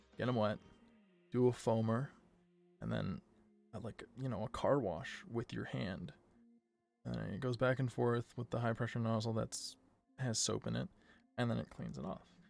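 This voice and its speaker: At a moderate pace broken by long, frequent pauses, the speaker talks over music in the background. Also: man. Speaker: livestreamer. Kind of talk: casual live stream chat while sketching. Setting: live stream.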